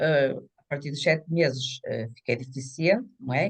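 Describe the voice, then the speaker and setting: A woman speaks at a fairly slow pace. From northern Portugal, Minho (São Mamede d'Este, Braga). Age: 60s. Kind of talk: interview testimony. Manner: halting.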